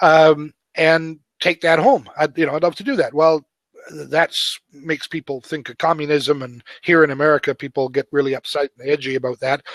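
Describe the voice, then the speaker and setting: A man's unremarkable speaking voice, fairly high in pitch, with big swings in loudness, a moderate pace, fairly even intonation, and a dry, close sound with no echo. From Canada. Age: 60s. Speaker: author and web coach. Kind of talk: interview conversation.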